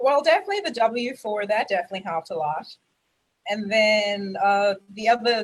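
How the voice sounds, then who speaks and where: Fairly quick speech from a woman, fairly high in pitch with ordinary pitch variation. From South Africa. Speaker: network marketing member. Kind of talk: testimony. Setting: video call livestream.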